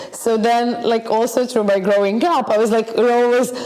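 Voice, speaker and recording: Noticeable background noise fills the recording. Through it, a woman keeps a moderate pace. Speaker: yoga teacher and dancer. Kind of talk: casual chat. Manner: animated.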